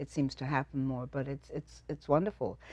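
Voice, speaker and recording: Over a quiet background, a woman speaks with a non-native accent. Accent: foreign. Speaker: immigrant. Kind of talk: interview answer.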